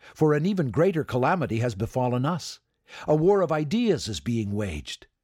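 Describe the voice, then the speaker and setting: In a dramatic tone, a man talks at a moderate pace with very wide swings in pitch. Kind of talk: history documentary narration. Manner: dramatic, vivid storytelling.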